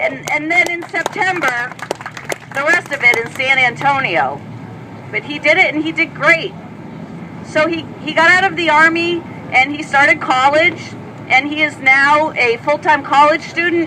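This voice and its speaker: A woman projects her high voice in an animated tone. Noticeable background noise runs behind her. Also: moderate pace. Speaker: speaker at an advocacy event. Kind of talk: public speech.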